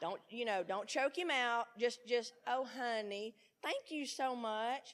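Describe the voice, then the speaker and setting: A woman with an American accent, animated in tone. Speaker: recovery speaker. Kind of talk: speaker talk at a conference. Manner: loud.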